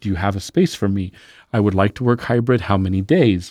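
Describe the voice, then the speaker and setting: An unremarkable speaking voice from a man at a fairly quick pace, with ordinary pitch variation and a dry, close sound with no echo over a quiet background. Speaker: podcast host. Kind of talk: interview, scripted intro then casual conversation.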